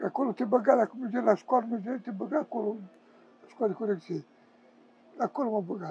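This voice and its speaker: A man speaks at a moderate pace, and the sound is dry with no echo. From Romania. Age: 70s. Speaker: homeless man, former prisoner. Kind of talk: interview answer. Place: street. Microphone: lapel.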